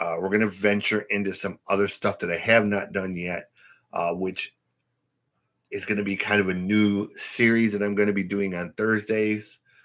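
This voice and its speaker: On a very clean recording with a silent background, a man with an American accent speaks at a moderate pace in a fairly low pitch with monotone, flat intonation. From Michigan, US. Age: 50s. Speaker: music reaction youtuber and podcaster. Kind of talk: casual live stream chat. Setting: live stream. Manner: hesitant, many fillers.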